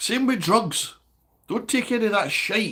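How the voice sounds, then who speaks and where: With a Scottish accent, a man speaks at a moderate pace in a high-pitched, bright, sharp tone. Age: 60s. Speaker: livestreamer, recovering alcoholic. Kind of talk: casual livestream chat reading comments. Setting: livestream.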